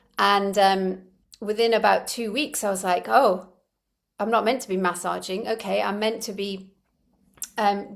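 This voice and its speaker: Here is a woman with an ordinary speaking voice at a medium pitch. She talks at a fairly slow pace with fairly even intonation. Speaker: energy healer, former opera singer. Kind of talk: interview answer.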